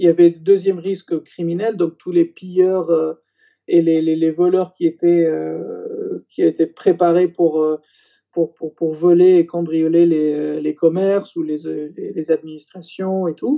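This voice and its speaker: Over music in the background, a man speaks fairly slowly at a high pitch in a monotone, flat way. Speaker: former intelligence general. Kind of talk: interview testimony. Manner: halting, many hesitations.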